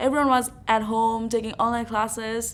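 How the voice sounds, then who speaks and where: Her tone comes across bright and sharp. This woman speaks with a non-native accent. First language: not English. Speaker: university student. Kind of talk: interview. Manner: hesitant, many fillers.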